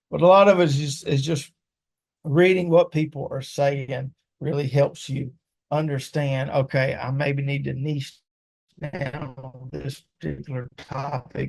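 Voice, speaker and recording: Somewhat breathy and fairly high-pitched, a man talks at a fairly slow pace with fairly even intonation and big swings in loudness. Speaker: digital marketing consultant. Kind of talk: webinar presentation and Q&A. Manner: casual, conversational.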